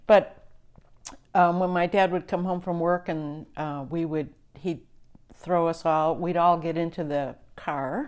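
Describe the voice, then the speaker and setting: On a very clean recording with a silent background, a woman with an American accent speaks at a fairly slow pace and fairly low pitch, with fairly even intonation and long, frequent pauses. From western New York State (Niagara River). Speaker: conservation leader. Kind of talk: interview. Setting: in person, in a rental house.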